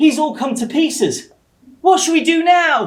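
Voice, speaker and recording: A put-on character voice at a high pitch. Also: moderate pace. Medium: stage play.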